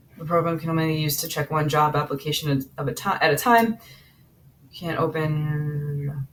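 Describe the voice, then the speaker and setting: A woman is talking. Her pace is fairly quick. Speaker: startup founder vlogger. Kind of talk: live working session tutorial. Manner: fast; halting, many fillers and restarts.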